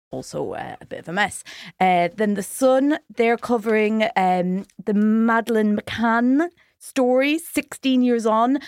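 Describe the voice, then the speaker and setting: In an Irish accent, the speaker uses lively intonation at a fairly slow pace, with a dry, close sound and no echo. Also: woman. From Ireland. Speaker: comedian. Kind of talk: casual chat. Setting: studio.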